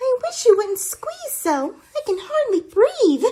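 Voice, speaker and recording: A squeaky put-on character voice, extremely high in pitch, at a fairly slow pace. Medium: audio drama. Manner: peevish, prim.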